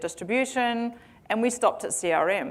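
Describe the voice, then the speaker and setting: A woman with a New Zealand accent at a moderate pace, with ordinary pitch variation. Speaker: tech company founder and CEO. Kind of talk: conference keynote. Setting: stage with audience. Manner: hesitant with fillers.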